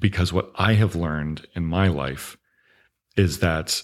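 A man with an American accent, very deep and low in pitch, fairly even in intonation, on a very clean recording with a silent background. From US South, Augusta, Georgia. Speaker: television screenwriter. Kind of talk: interview conversation.

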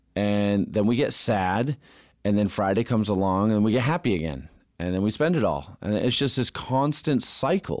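A man with a normal speaking voice talks at a moderate pace, fairly low in pitch, with lively intonation. His loudness stays very even on a very clean recording with a silent background. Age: 30s. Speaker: electrical contractor, business owner. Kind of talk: interview. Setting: studio.

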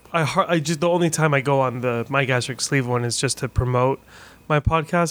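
A normal speaking voice with fairly even intonation moves at a moderate pace. The recording is very clean, with a silent background. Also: man. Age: 40s. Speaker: podcaster, weight loss surgery patient. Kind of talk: casual chat. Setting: hotel room.

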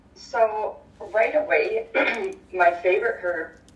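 A woman's voice with noticeable background noise. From Victoria, British Columbia, Canada. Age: 30s. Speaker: holistic healer and mindset coach. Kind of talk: casual interview.

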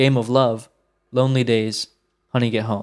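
This man's medium-pitched voice keeps a monotone, flat intonation. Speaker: music historian. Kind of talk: casual discussion of recording sessions.

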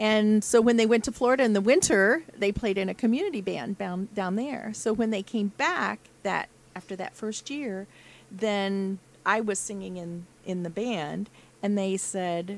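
Her voice is a plain, everyday voice, as the woman speaks at a medium pitch with ordinary pitch variation. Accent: American. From Rochester, Indiana. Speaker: jazz band vocalist. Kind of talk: casual chat.

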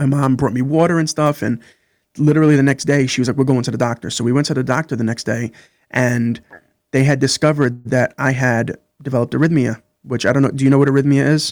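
Over a silent background in a very clean recording, a man with an American accent talks at a very fast pace. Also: medium pitch for a man, fairly even intonation, dry, close sound with no echo. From Brooklyn, New York. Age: 30s. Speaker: podcast guest. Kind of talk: interview.

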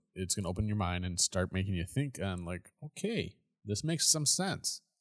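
Heard in a very clean recording with a silent background, a man speaks at a moderate pace. His pitch is fairly low with ordinary variation, and the sound is dry and close with no echo. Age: 40s. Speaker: podcast host. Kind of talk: solo commentary monologue. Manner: casual, halting with fillers.

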